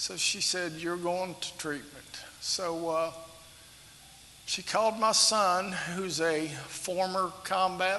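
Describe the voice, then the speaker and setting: With a Kentucky accent, a man speaks at a very slow pace in a high voice with fairly even intonation, over noticeable background noise. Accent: southern US (Kentucky). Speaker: retired police officer. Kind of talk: testimony. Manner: halting, with many fillers.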